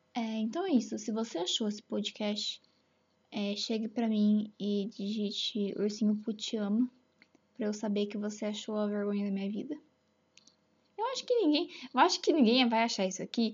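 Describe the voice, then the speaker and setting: Somewhat breathy and fairly high in pitch, a woman speaks at a moderate pace with ordinary pitch variation and long, frequent pauses. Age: 20s. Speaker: veterinary student, amateur podcaster. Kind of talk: casual solo monologue. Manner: animated.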